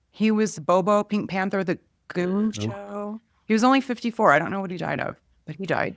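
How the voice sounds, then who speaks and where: At a moderate pace, a woman talks in a normal speaking voice with medium pitch. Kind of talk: podcast hosting.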